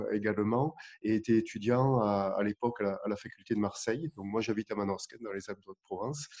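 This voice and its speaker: This man has a dark, mellow tone and a fairly low pitch. His voice is recorded dry and close, with no echo. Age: 50s. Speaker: dentist. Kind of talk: interview. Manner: halting, repeats words.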